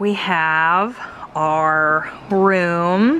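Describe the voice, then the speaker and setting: A woman is heard over light background noise. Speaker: parent vlogger. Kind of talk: casual vlog chat. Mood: cheerful, relaxed. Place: home room. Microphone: phone near.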